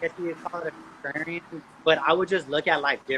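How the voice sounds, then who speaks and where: Over noticeable background noise, a man with a fairly high pitch speaks at a very fast pace. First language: Spanish. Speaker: podcast guest. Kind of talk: casual chat. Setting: live video call.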